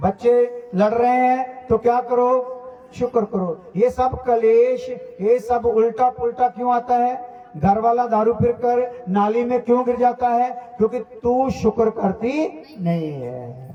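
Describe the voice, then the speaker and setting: Over noticeable background noise, a man with a Punjabi accent speaks at an extremely high pitch with fairly even intonation. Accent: Punjabi-accented Hindi. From Punjab, India. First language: Punjabi (speaking Hindi). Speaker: pastor. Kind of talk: sermon.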